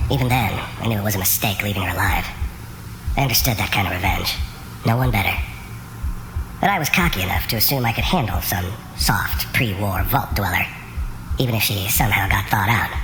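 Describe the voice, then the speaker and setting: A man's fairly low-pitched put-on character voice at a very fast pace over loud background noise. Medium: machinima. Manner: terse, gravelly, world-weary.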